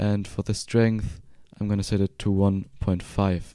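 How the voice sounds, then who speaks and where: On a very clean recording with a silent background, a man with a German accent speaks in a dark, mellow tone. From Germany. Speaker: 3D software tutorial creator. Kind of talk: tutorial. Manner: casual.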